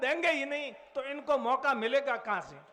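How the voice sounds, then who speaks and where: Through noticeable background noise, a man speaks at an extremely high pitch with fairly even intonation. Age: 70s. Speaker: veteran politician. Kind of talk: political rally speech.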